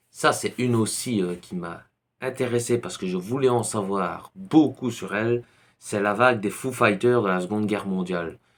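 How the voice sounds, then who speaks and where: In a very clean recording with a silent background, a man with a Belgian accent speaks at a fairly low pitch with ordinary pitch variation. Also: moderate pace. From Belgium. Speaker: YouTuber on paranormal topics. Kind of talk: casual book recommendation vlog. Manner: hesitant, many fillers.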